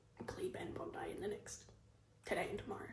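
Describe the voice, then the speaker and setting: A woman whispering fairly quickly with an Australian accent, with audible room echo. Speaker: vlogger and small-business dressmaker. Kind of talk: casual vlog. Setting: in a car. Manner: casual, chatty.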